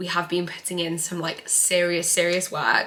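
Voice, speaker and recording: A woman speaks with an English accent. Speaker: lifestyle vlogger. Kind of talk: casual chat.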